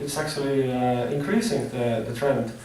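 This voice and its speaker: A man with an Estonian accent speaks amid noticeable background noise and audible room echo. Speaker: forestry student presenter. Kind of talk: presentation. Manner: fast; halting.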